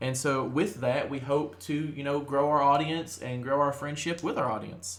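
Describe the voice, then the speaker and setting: With audible room echo in the recording, a man with a Kentucky accent talks at a moderate pace in a fairly high pitch with ordinary pitch variation. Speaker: podcast host. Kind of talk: casual chat. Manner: talkative, with frequent fillers.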